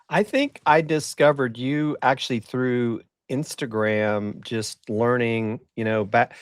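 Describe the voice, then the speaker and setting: A man with a normal speaking voice at a medium pitch, fairly slow, with ordinary pitch variation, in a dry, close sound with no echo on a very clean recording with a silent background. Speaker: marketing podcast host. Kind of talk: casual chat.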